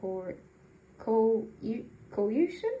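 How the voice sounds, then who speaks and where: A woman with a non-native accent speaks at a fairly slow pace, her fairly high, somewhat breathy voice carrying a dark, mellow tone. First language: not English. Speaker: magazine reader, channel owner. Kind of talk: reading aloud. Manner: halting; self-correcting.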